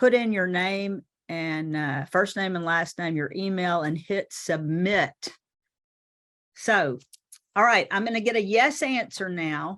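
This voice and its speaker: Against a quiet background, a woman with a medium-pitched voice talks at a fairly slow pace with lively intonation and long, frequent pauses. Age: 60s. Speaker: time management coach. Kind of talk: webinar presentation. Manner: animated.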